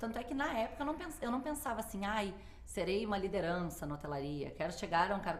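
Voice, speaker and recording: With a southern Brazilian accent, a woman at a medium pitch speaks very fast with very wide pitch swings, and room echo can be heard. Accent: gaúcho. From southern Brazil, Porto Alegre. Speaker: hotel manager. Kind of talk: interview. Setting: studio.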